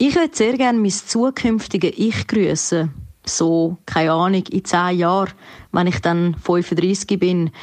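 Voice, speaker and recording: A woman with a Zurich accent speaks very slowly at a medium pitch, with ordinary pitch variation. Her loudness stays very even against a quiet background. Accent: Zurich Swiss German dialect. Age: 20s. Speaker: musician, slam poet and cabaret artist. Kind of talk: recorded voice message.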